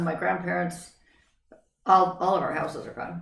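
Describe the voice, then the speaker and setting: In an American accent, a woman with vocal fry speaks at a fairly low pitch, with audible room echo. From Northern California, then Idaho. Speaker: interview guest. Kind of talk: life story interview.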